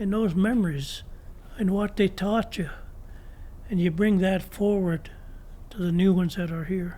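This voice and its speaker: A man's high-pitched voice with a dark, mellow tone, fairly even intonation and long, frequent pauses. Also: moderate pace. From Ontario, Canada (Curve Lake First Nation). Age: 80s+. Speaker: former First Nation chief and elder. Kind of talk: interview. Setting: podcast interview. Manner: reflective.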